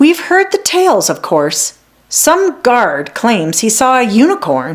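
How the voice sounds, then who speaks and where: This female-sounding, put-on character voice sits high for a woman, moves at a fairly slow pace and has very wide pitch swings. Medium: read story. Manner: warm, motherly.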